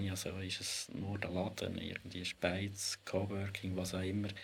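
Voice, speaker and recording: The man's voice is very deep and low-pitched, and somewhat breathy. He talks at a moderate pace. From Switzerland, Lucerne. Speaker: historian and spatial planning expert. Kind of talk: casual discussion.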